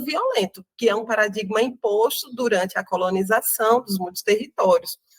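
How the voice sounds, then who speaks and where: A woman speaks with a northeastern Brazilian accent. Her pace is fairly quick. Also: dry, close sound with no echo. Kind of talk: interview. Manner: halting, many fillers.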